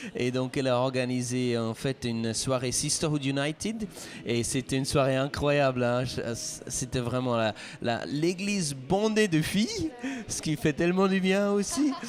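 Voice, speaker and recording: Over noticeable background noise, a man with a fairly high voice speaks fairly slowly with lively intonation. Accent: slight Swiss French. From Switzerland. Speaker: pastor. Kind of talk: interview.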